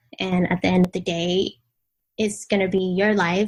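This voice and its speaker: A woman speaks with a Vietnamese accent at a medium pitch. Her voice is somewhat breathy, with monotone, flat intonation. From Vietnam, then Washington DC from age 8. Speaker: blogger and influencer. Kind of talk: podcast interview.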